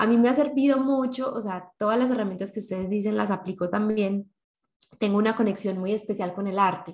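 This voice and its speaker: A woman's somewhat breathy, medium-pitched voice at a fairly quick pace, with ordinary pitch variation. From Colombia (Medellín). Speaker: podcast co-host. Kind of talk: casual chat.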